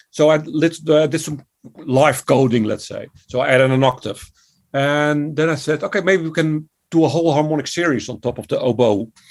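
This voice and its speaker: In a Dutch accent, a man talks at a moderate pace with a fairly high pitch. The recording is very clean, with a silent background. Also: ordinary pitch variation. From Netherlands. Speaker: composer and music educator. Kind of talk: interview.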